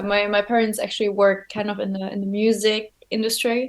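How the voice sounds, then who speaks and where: A woman speaks at a fairly quick pace with a German accent. Her fairly high voice stays monotone and flat. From Germany, Frankfurt area. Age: 20s. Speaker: airline pilot. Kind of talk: interview. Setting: video call.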